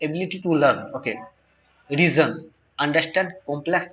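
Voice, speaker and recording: The speaker has a non-native accent, keeps a moderate pace, and is heard with audible room echo. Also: man. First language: not English. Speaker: online data science teacher. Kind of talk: tutorial lecture. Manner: halting, many fillers and repetitions.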